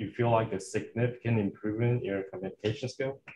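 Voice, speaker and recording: A somewhat breathy male voice. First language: not English. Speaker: audience member. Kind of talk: audience question. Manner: halting.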